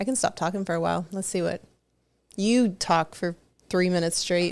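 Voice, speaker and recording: The woman talks at a fairly quick pace, her medium pitch showing ordinary pitch variation. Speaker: podcast co-host. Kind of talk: casual chat. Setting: live stream. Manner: loud.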